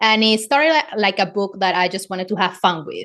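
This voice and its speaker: At a fairly quick pace, a woman talks with medium pitch and ordinary pitch variation. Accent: Spanish. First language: Spanish. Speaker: romance author. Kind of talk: interview podcast. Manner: casual.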